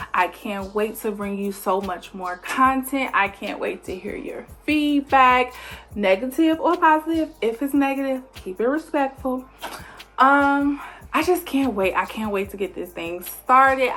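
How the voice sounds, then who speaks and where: Noticeable background noise beneath very wide swings in pitch. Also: woman. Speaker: vlogger. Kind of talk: casual vlog intro.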